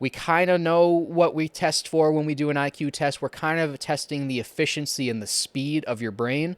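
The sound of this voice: A man at a fairly high pitch, moderate pace, and fairly even intonation.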